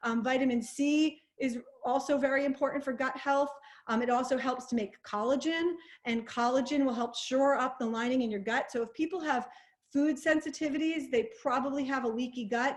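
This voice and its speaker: A woman talks loudly at a fairly quick pace. Her high voice keeps a fairly even intonation. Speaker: naturopathic doctor. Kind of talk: webinar presentation. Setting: online webinar. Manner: fast.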